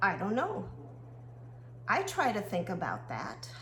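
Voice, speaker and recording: Audible room echo and noticeable background noise accompany a woman's speech. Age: 60s. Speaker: horse riding coach. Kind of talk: casual monologue video.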